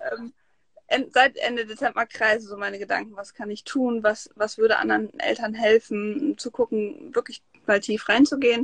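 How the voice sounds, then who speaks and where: In a dry, close sound with no echo, a woman talks at a fairly high pitch and moderate pace. Her pitch variation is ordinary, and her loudness swings widely. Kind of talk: interview.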